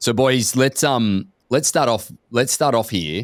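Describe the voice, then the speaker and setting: At a fairly slow pace, a man with an Australian accent speaks in a dry, close sound with no echo. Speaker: podcast host, company executive. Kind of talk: casual podcast conversation.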